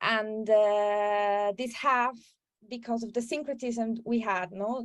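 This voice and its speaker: At a very slow pace, a woman speaks in a fairly high voice with ordinary pitch variation. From Peru, coast. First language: Spanish. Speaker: filmmaker. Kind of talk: interview. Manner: halting, repeats words.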